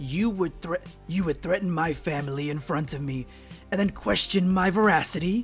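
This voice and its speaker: Clear music plays in the background behind a put-on character voice at a middle pitch. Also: moderate pace. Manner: intense, indignant.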